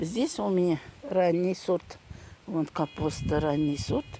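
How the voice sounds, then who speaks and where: A woman with a Tatar accent speaks at a very slow pace. Her pitch is fairly low. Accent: Tatar accent in Russian. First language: Tatar (speaking Russian). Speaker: gardening vlogger. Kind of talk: casual vlog.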